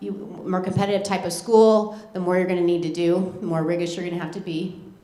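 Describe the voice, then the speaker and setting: A woman speaks at a fairly quick pace and medium pitch. Noticeable background noise and audible room echo surround her voice. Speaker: school college counselor. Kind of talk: informational presentation. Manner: fast.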